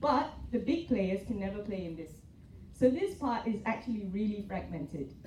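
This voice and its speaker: In a room with audible echo, a woman speaks at a medium pitch with lively intonation and big swings in loudness. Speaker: hospital executive. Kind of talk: panel presentation. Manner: fast.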